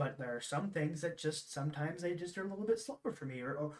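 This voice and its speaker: A man talks at a very fast pace. His voice is high-pitched for a man, with lively intonation. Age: 20s. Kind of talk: casual chat. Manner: halting.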